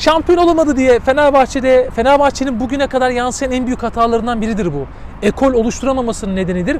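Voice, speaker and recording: The speech goes at a very fast pace. There is noticeable background noise. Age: 40s. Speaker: sports journalist. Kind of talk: casual chat.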